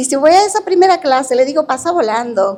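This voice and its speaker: This woman has a high pitch, ordinary pitch variation and a moderate pace. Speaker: university professor. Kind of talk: lecture. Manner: informal, conversational.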